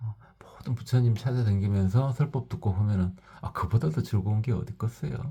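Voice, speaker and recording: A man with a fairly low pitch has a dark, mellow tone that is somewhat breathy. He talks at a moderate pace with lively intonation. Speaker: Buddhist teacher. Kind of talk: dharma talk. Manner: forceful.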